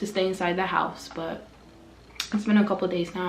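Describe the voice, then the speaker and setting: A woman's medium-pitched voice in a monotone, flat intonation at a fairly quick pace, with audible room echo and music in the background. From West Africa. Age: 20s. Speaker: vlogger. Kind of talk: casual chat. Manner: casual.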